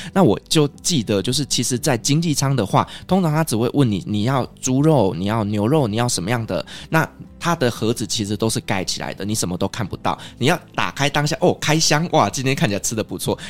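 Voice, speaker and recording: With music in the background, a man speaks at a fairly quick pace in a medium pitch, his intonation lively. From Taiwan. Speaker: podcast host. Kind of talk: casual interview chat; scripted outro.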